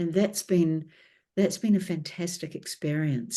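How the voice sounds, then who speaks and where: Against a quiet background, a woman with a New Zealand accent and a dark, mellow tone speaks at a fairly slow pace with ordinary pitch variation. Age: 60s. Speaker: author and documentary filmmaker. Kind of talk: interview.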